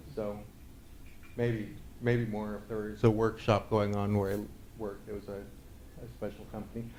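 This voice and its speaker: A man at medium pitch with an American accent, at a moderate pace, with audible room echo. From northern California, Sierra Nevada foothills. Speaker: conference speaker, Drupal developer. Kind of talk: conference talk. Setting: stage with audience. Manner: hesitant, many fillers.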